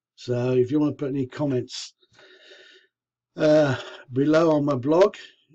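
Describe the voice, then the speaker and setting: Here a man's pitch is fairly high and his tone dark and mellow. His intonation stays fairly even. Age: 60s. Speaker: vlogger with leukemia. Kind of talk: personal video diary.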